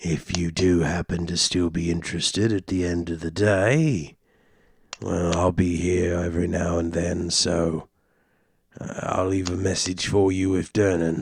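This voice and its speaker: A man uses a put-on character voice that is raspy and very deep and low in pitch. He talks at a fairly slow pace. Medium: actual play. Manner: gruff, paternal.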